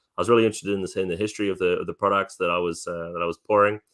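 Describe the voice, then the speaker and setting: A man talks at a fairly low pitch with a New Zealand accent. His intonation stays fairly even. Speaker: whisky distillery representative. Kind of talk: interview. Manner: hesitant, many fillers.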